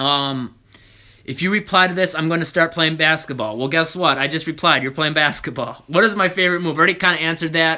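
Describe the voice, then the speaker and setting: Man's voice at a fairly high pitch, bright and sharp, with ordinary pitch variation and a very fast pace. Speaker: basketball trainer. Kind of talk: live Q&A stream.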